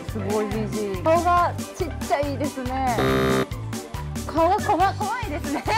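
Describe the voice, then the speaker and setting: Loud music plays behind a woman whose speech has long, frequent pauses. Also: fairly slow pace. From Yonago, Tottori. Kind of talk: casual talk to camera. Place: shop.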